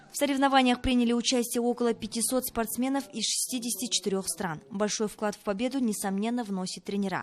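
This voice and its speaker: A woman with an ordinary speaking voice talks at a fairly quick pace, with a fairly high pitch and ordinary pitch variation. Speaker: TV news presenter. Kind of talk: TV news report voiceover.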